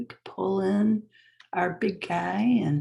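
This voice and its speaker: A woman's calm tone at a medium pitch, with vocal fry and a very slow pace. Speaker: spiritual teacher. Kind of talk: online class talk; guided meditation. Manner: casual, with fillers; slow, calm.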